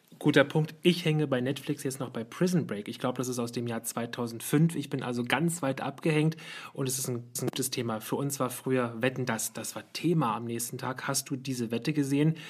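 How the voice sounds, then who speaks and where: A woman with a very deep, low pitch talks at a fairly quick pace with hardly any pauses and fairly even intonation. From West Berlin. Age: 30s. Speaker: podcast host, communications lecturer. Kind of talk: casual chat.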